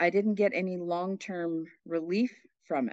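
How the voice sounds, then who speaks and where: An unremarkable speaking voice, moving at a fairly slow pace. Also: woman. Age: 60s. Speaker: nurse and coaching client. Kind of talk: casual interview.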